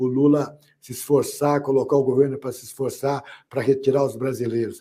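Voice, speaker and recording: The man's voice has a dark, mellow tone. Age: 60s. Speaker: political commentator. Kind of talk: panel discussion. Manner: halting.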